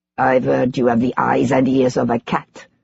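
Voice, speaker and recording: A put-on character voice, raspy and low-to-middle in pitch, at a moderate pace. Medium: read story. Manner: affable, smooth, veiled menace.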